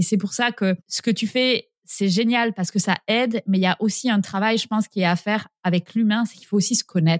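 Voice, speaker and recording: The speech moves at a moderate pace with fairly even intonation. It is an unremarkable speaking voice. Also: woman, dry, close sound with no echo. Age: 30s. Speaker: horse owner. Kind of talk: interview.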